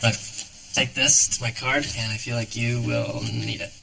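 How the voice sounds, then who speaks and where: A raspy, put-on character voice at a moderate pace, with clear background noise. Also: man, medium pitch for a man. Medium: short film. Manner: warm, easygoing.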